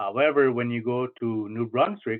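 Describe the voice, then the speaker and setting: A medium-pitched man talks with a Maritime Canadian accent. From Nova Scotia, Canada. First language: Mi'kmaq. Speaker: cultural coordinator. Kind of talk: lecture. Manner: hesitant, many fillers.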